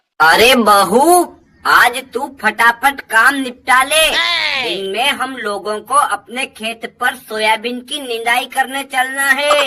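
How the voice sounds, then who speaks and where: A female-sounding, cartoonish character voice rings out at a high pitch. Its pace is fairly slow. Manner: bossy, scolding.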